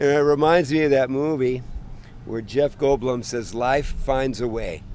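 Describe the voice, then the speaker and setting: A man with an unremarkable speaking voice talks at medium pitch and a fairly slow pace with fairly even intonation. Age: 60s. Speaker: passer-by interviewee. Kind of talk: street interview. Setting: outdoors in a park.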